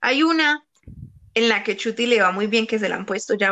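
A woman speaks in a plain, everyday voice. Her pitch is fairly high, and her pace is moderate. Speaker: podcast host. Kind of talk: casual chat.

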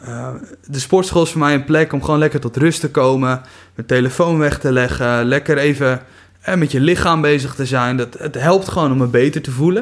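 A man with a fairly high pitch speaks with fairly even intonation. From Netherlands, Kuinre area (Overijssel/Friesland border). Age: 20s. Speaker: missionary recruiter and church youth worker. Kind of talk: casual faith interview, testimony.

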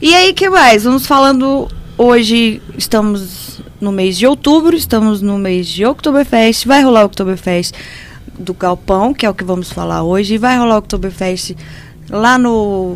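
A woman's medium-pitched voice with lively intonation at a fairly slow pace, against noticeable background noise. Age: 30s. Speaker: beer radio co-host. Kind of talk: casual chat.

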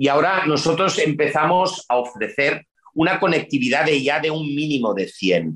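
A man's voice with vocal fry and ordinary pitch variation. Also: fairly high pitch for a man, moderate pace. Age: 50s. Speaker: urban development executive. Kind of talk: interview.

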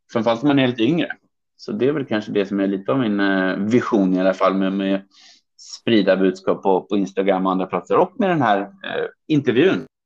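An ordinary speaking voice from a man, fairly low in pitch, with ordinary pitch variation at a fairly quick pace. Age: 30s. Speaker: trade promotion officer. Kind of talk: interview.

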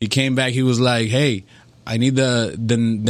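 A man speaks at a medium pitch with a Spanish accent. The recording is very clean, with a silent background. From Dominican Republic, Santo Domingo. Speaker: music producer. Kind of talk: casual chat. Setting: studio.

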